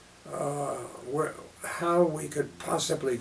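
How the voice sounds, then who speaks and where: A man talks in an American accent while obvious noise runs in the background. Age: 80s+. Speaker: author and journalism lecturer; World War Two veteran. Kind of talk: interview answer.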